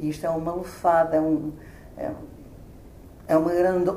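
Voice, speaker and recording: A woman speaks at a moderate pace in a fairly low, flat monotone, with audible room echo. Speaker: retired radio professional, amateur actor. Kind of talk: interview.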